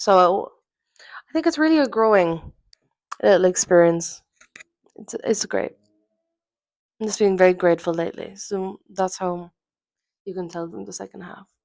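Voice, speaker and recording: A woman with an Irish accent speaks at a moderate pace and medium pitch, with ordinary pitch variation. She takes long, frequent pauses, and her loudness swings widely. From Ireland. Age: 20s. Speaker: podcast host. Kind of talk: casual solo podcast monologue. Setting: at home in her apartment.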